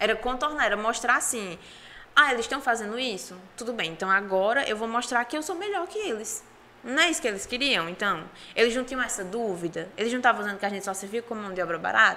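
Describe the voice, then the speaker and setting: Speaking at a very fast pace with a northeastern Brazilian accent, a woman uses a fairly high pitch and lively intonation. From Brazilian Northeast, Ceará and Paraíba. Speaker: oratory contest finalist. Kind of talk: podcast interview.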